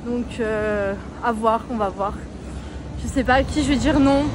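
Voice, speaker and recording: Music plays in the background as a woman speaks with lively intonation, and audible room echo surrounds her voice. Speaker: travel vlogger. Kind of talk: casual vlog monologue. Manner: loud; animated.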